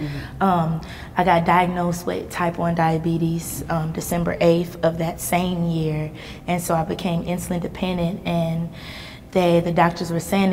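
The voice is monotone and flat, at a moderate pace. There is light background noise. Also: woman. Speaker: interview guest. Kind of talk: interview answer. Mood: somber personal story of trauma. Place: hall.

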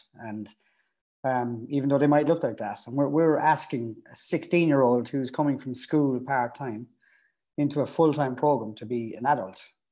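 A man speaks at a moderate pace in a fairly high pitch with a dark, mellow tone and ordinary pitch variation against a quiet background. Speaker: youth academy strength and conditioning coach. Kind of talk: interview. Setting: video call. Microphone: earbuds.

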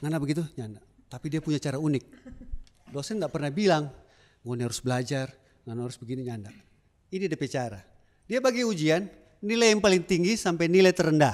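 Over a quiet background, a man talks very fast at a fairly high pitch with an animated tone. His pitch swings very widely, broken by long, frequent pauses. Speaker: alumnus doing stand-up comedy. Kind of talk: stand-up comedy. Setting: stage with audience. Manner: animated, jokey, chatty, with audience interaction and laughs. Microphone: handheld.

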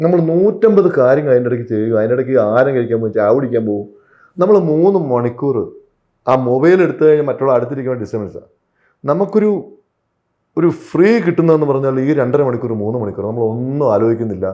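A man with an unremarkable speaking voice talks at medium pitch, his intonation lively. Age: 40s. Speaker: film actor. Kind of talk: interview.

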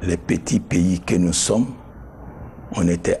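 With a very deep, low pitch and ordinary pitch variation, a man speaks at a very slow pace over light background noise. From Guinea. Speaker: former government official; interviewee. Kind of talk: interview testimony. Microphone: lapel.

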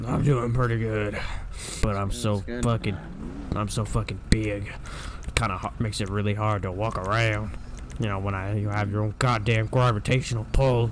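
Putting on a rumbling character voice, a man speaks at a fairly low pitch and a moderate pace over loud background noise. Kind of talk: comic overacting. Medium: game stream. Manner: crude, grumbling, swearing.

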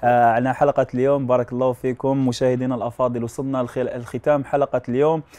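A man talks at a fairly quick pace with hardly any pauses. His medium-pitched voice stays monotone and flat. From Algeria. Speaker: TV show host. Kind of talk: TV talk show. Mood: warm, smiling. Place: studio. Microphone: lapel.

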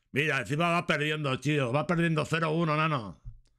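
A man's voice over a quiet background. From Valencia, Spain; Spain. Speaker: streamer; livestreamer. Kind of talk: casual commentary reading celebrity news; casual livestream chat and gossip commentary. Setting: livestream at night. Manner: rambling, repetitive. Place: home room. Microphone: studio mic.

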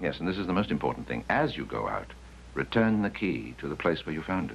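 This is a put-on character voice with vocal fry and big pitch swings. The pace is fairly quick. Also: man, extremely low pitch for a man.

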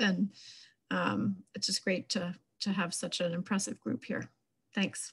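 At a very slow pace and in an American accent, the voice shows vocal fry, long, frequent pauses, very even loudness and fairly even intonation over a quiet background. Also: woman, medium pitch for a woman. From New York. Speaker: wildlife biologist. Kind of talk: panel introduction. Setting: video call. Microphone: video call.

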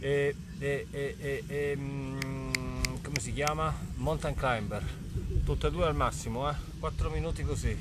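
The speech moves at a moderate pace. There is noticeable background noise, and the sound is dry with no echo. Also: man. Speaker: fitness coach. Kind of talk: casual workout livestream chat. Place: open country.

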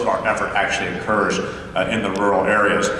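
A man's voice carries audible room echo. Light background noise sits behind it. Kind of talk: speech. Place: hall. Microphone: podium.

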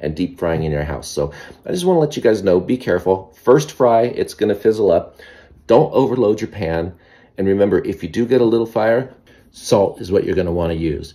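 Against a quiet background, a man talks at a fairly quick pace. His voice is fairly low, with a dark, mellow tone. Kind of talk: casual cooking vlog. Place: kitchen. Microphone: phone near.

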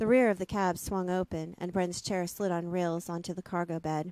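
In a dry recording with no echo, a woman speaks at a fairly low pitch with a dark, mellow tone and monotone, flat intonation. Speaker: audiobook narrator and interviewer. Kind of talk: reading aloud. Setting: video call. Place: home room. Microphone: studio mic.

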